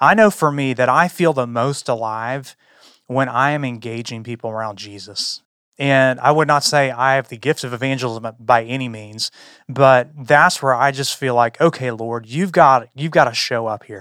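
A man's plain, everyday voice at medium pitch, with ordinary pitch variation, a moderate pace and a very clean recording over a silent background. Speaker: church staff leader. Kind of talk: casual discussion.

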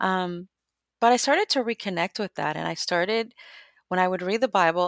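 Recorded very cleanly with a silent background and a dry, close sound with no echo, a woman with an American accent uses an ordinary speaking voice at medium pitch and a moderate pace. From Guatemala, raised in the US from childhood. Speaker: immigrant advocate and writer. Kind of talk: interview conversation.

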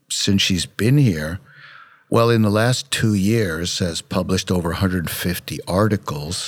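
At a fairly slow pace, a man with an American accent talks in a normal speaking voice, his pitch varying in an ordinary way, on a very clean recording with a silent background. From Brooklyn, New York. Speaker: dentist and founder of a dental education center.

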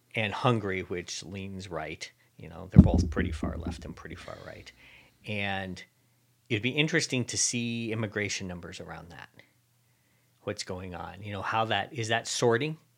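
With a normal speaking voice, this man talks at a moderate pace in a fairly low pitch, with ordinary pitch variation and big swings in loudness. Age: 50s. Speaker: tech podcast co-host. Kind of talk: casual chat.

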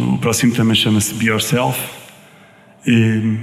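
A man talks with ordinary pitch variation at a medium pitch, noticeable background noise behind him. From Portugal, Viseu. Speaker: singer-songwriter. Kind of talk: radio interview. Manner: halting.

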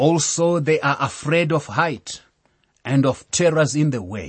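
A man's somewhat breathy voice at a very slow pace. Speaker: Bible teacher. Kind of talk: sermon-style Bible lecture. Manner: formal, teaching.

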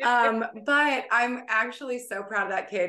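A woman in an ordinary speaking voice, at a fairly slow pace with ordinary pitch variation. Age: 30s. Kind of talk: casual chat.

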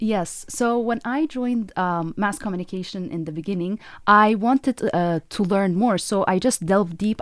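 A woman with an Arabic accent at a medium pitch and moderate pace, ordinary pitch variation, on a very clean recording with a silent background. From Egypt, Cairo. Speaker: professor. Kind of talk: interview.

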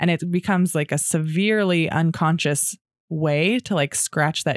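Here is a woman with an ordinary speaking voice, fairly low in pitch with ordinary variation, at a moderate pace. The recording is very clean and dry, close with no echo, over a silent background. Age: 30s. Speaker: sound bath practitioner and entrepreneur. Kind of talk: casual interview chat.

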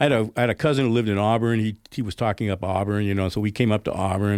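A man with an American accent talks at a very fast pace, his pitch fairly low and its variation ordinary. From Northern California, Oakland area. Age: 60s. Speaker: brewery owner and entrepreneur. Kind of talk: radio interview. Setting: radio studio.

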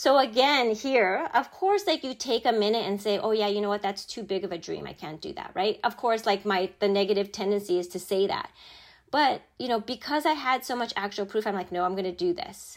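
This woman has a plain, everyday voice with lively intonation and a fairly quick pace. Her recording is very clean, with a silent background. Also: fairly high pitch for a woman. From born in Japan, raised in Chicago area US. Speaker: corporate executive. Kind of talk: interview, personal storytelling.

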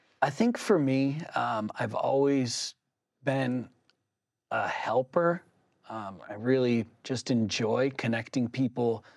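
Very slow speech from a man, medium in pitch with ordinary variation. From southern New Hampshire, Manchester. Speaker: treatment center outreach representative, person in recovery. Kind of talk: interview. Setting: studio.

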